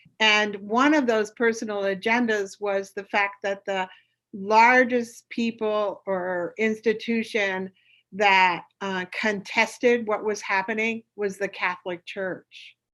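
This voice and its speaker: A woman with a fairly high pitch speaks very slowly and with fairly even intonation over a quiet background. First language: French. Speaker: witness, descendant of eugenics victims. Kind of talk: legislative committee testimony. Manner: halting, with fillers.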